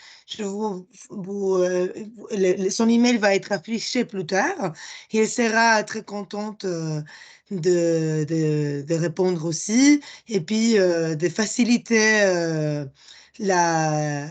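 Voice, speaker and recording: At a very slow pace, a woman at a medium pitch talks with ordinary pitch variation. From Spain. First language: Spanish (speaking French). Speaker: project presenter. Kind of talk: conference presentation. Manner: halting, many hesitations.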